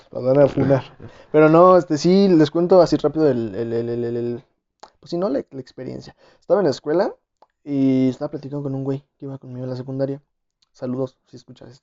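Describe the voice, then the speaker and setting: In a normal speaking voice, a man talks fairly quickly at a fairly high pitch, with ordinary pitch variation and big swings in loudness. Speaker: podcast host. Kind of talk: casual chat.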